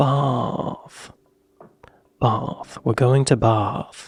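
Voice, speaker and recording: A somewhat breathy male voice, dry and close with no echo. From United States. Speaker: reaction video creator. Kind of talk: casual reaction commentary.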